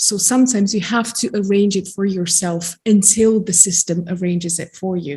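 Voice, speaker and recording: Somewhat breathy and dark, mellow in tone, the voice moves at a moderate pace with fairly even intonation. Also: woman. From Romania (Transylvania). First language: Romanian. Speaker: genetic counselor and psychologist. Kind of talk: seminar talk. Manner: hesitant, many fillers.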